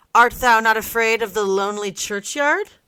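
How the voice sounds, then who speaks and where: Using a put-on character voice, a woman speaks at a moderate pace in a fairly high pitch. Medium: read story. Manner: earnest, old-fashioned.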